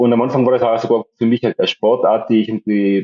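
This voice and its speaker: A man at medium pitch and a very fast pace. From Austria, Tyrol. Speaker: psychiatrist and amateur long-distance cyclist. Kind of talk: podcast interview. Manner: halting, many repetitions and fillers.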